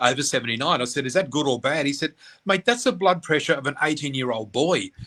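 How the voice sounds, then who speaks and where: The speaker has an Australian accent and talks at a very fast pace. The tone is bright, sharp and animated, with ordinary pitch variation. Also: man. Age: 60s. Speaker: psychic medium. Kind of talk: interview.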